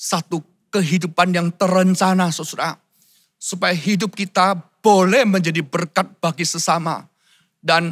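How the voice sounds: Someone reads in a natural way, and the background stays quiet.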